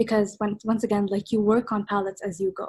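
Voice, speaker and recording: Fairly quick, somewhat breathy speech from a woman. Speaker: art workshop instructor. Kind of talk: online workshop tutorial. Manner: fast; casual, hesitant with fillers.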